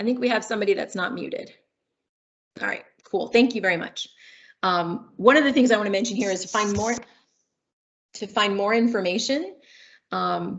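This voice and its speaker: A woman with vocal fry talks at a fairly quick pace and medium pitch, with ordinary pitch variation and long, frequent pauses. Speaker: director of change management and communications. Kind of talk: training webinar presentation. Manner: loud; casual, chatty.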